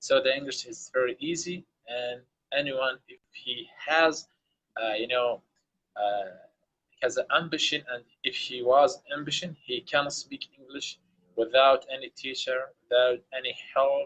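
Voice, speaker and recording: With an Arabic accent and big swings in loudness, a man speaks at a fairly slow pace in a fairly high pitch. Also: ordinary pitch variation. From Iraq. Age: young. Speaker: English learner. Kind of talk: casual chat. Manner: halting.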